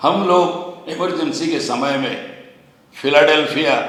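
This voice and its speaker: A man talks in a space with audible room echo, noticeable background noise present as well. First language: Kannada (speaking Hindi). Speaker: activist. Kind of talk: public speech. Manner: halting, mixing in English.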